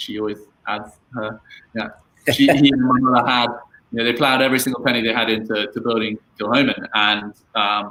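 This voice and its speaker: A man speaks in a monotone, flat intonation. Long, frequent pauses break up his speech. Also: medium pitch for a man, fairly quick pace. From England, later Scotland (Islay). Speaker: distillery family member. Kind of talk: interview on a live stream. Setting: live online stream.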